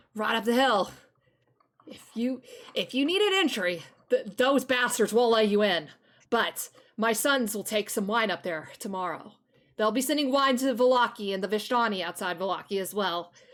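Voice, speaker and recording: Using a put-on character voice, a woman speaks with a strained, fairly high pitch and lively intonation. She keeps a moderate pace on a very clean recording with a silent background. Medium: actual play. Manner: blunt, gruff.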